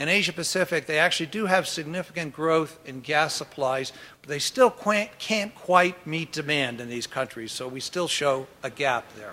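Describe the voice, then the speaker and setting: A man speaks with a fairly high pitch and hardly any pauses. His loudness swings widely. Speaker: oil company executive, keynote speaker. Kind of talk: keynote presentation. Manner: fast.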